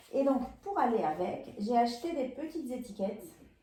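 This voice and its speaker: Speaking at a fairly slow pace with a slight Peruvian accent, a woman has a dark, mellow, somewhat breathy tone and lively intonation. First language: Spanish (speaking French). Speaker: sewing and knitting vlogger. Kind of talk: casual haul video chat. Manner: hesitant, many fillers.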